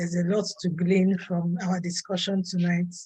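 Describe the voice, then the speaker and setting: A woman speaks at a medium pitch in a somewhat breathy voice. Her delivery is fairly slow, with monotone, flat intonation. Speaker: online meetup host. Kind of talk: casual chat.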